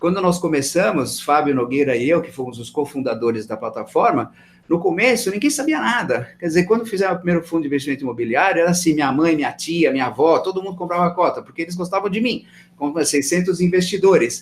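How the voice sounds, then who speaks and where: The delivery races along at a very fast pace. Intonation rises and falls in a lively way. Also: man, high pitch for a man. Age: 60s. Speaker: real estate fund manager. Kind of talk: interview. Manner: animated.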